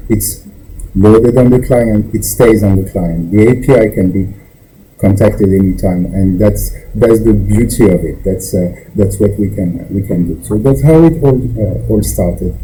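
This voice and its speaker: Against noticeable background noise and audible room echo, a man with a non-native accent speaks at a fairly low pitch and moderate pace, with ordinary pitch variation. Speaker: software developer, library creator. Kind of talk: technical interview. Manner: halting, many fillers and restarts.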